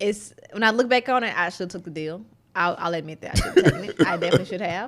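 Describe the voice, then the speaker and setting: A woman with a Southern US accent, medium in pitch, with ordinary pitch variation and big swings in loudness. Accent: Southern drawl. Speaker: tech entrepreneur. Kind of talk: interview conversation.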